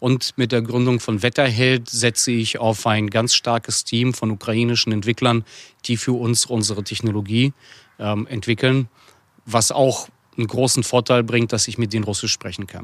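In a dry, close recording with no echo, a man talks at a moderate pace and medium pitch with monotone, flat intonation. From Russia, Chelyabinsk; raised in Hamburg from age 10. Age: 30s. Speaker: entrepreneur and former politician. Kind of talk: interview.

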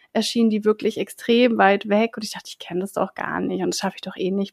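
A woman's fairly high-pitched, unremarkable speaking voice. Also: dry, close sound with no echo. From Berlin, Germany. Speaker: podcast co-host and self-employed coach. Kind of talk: casual chat.

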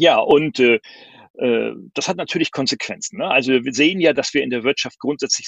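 The man keeps a moderate pace. His voice sounds dry and close, without any echo. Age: 50s. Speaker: professor and speaker on digitalization. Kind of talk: online talk and Q&A. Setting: video call with green screen.

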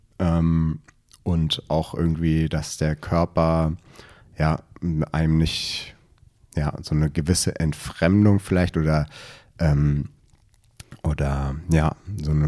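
Speaking very slowly with long, frequent pauses, a man has a very deep, low voice, a dark, mellow tone, monotone, flat intonation and very even loudness. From Berlin. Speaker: runner, running community member. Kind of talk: casual chat.

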